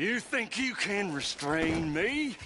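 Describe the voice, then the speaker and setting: Over clear background noise, a man does a put-on character voice at a high pitch. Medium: video game. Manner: menacing, theatrical.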